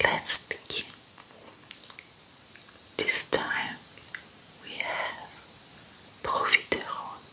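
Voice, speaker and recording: At a very slow pace, a woman speaks in a whisper. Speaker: ASMR creator. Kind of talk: ASMR eating video talk to camera. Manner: whispered.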